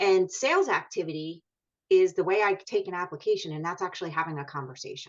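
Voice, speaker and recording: A woman speaks at a fairly quick pace with a slight Philadelphia accent. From Philadelphia, US. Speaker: mortgage coach. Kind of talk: casual chat.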